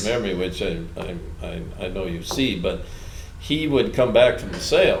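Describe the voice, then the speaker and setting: Against noticeable background noise, a man talks at a moderate pace with big swings in loudness. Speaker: retired farm equipment dealer. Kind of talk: interview answer.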